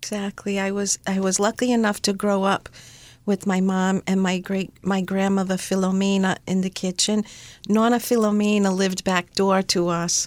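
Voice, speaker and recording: At a moderate pace and medium pitch, a woman speaks in a flat monotone with very even loudness, captured in a very clean recording with a silent background and a dry, close sound without echo. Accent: American. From US Northeast, Rhode Island. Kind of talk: interview. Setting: studio.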